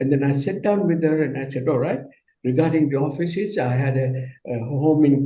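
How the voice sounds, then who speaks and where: The speaker is a man with a dark, mellow tone. His voice is somewhat breathy. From Kenya. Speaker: business leader. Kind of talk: panel discussion. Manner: halting.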